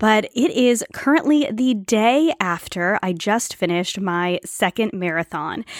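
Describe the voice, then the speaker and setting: A plain, everyday voice speaks at a fairly slow pace with hardly any pauses, in a very clean recording with a silent background. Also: woman, fairly high pitch for a woman. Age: 30s. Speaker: podcast host. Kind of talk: casual monologue.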